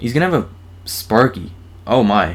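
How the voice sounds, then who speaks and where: Using lively intonation, a man talks at a fairly quick pace and a medium pitch. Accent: strong American. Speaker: gaming YouTuber. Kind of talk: live gameplay commentary. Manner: animated.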